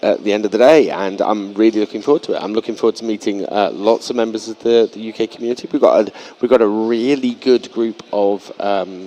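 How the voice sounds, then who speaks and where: With noticeable background noise, a man speaks at a fairly quick pace and keeps a fairly even intonation. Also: medium pitch for a man, hardly any pauses. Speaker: esports commentator. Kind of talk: live commentary. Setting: live event venue. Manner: hesitant, repeats words.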